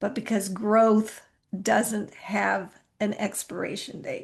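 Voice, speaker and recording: A woman speaks very slowly in a fairly high, somewhat breathy voice with fairly even intonation. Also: quiet background. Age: 60s. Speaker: podcast host. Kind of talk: reflective podcast monologue. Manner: casual, conversational.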